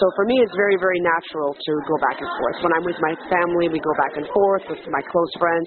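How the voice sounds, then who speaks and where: Hardly pausing, a woman talks at a fairly quick pace and fairly low pitch, with ordinary pitch variation. Noticeable background noise runs beneath her. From Quebec, Montreal, raised bilingually. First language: French. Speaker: stage actress. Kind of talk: interview. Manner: hesitant, many fillers and restarts.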